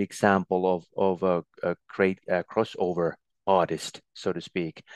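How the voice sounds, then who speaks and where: A man with a very deep, low pitch and a Finnish accent, dry and close with no echo, over a quiet background. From Finland. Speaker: former ski endurance record holder and ski commentator. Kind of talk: casual interview. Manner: halting, many fillers.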